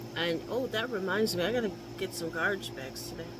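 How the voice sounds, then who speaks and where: A woman speaks with audible room echo. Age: 60s. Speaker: caregiver vlogger. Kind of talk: casual chat. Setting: home office.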